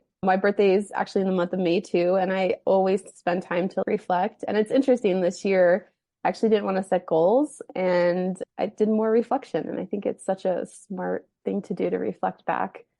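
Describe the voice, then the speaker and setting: With hardly any pauses, a woman speaks at a medium pitch using fairly even intonation. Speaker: podcast co-host. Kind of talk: casual chat. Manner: fast.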